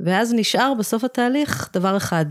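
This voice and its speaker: In a very clean recording with a silent background and a dry, close sound with no echo, a woman speaks at a very slow pace with very wide pitch swings. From England (moved to Israel as a child). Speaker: nonprofit founder. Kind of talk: interview.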